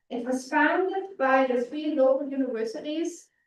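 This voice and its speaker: A woman's high voice at a fairly quick pace, with audible room echo. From Germany. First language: German. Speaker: physicist. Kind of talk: public lecture. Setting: stage with audience.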